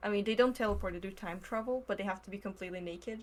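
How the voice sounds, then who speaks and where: A woman speaks with a Russian accent. Her pitch is medium. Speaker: podcast guest. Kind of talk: casual chat.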